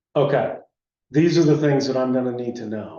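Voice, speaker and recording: A man's medium-pitched voice comes through with room echo that can be heard. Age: 60s. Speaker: energy efficiency contractor. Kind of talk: public meeting discussion. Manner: halting.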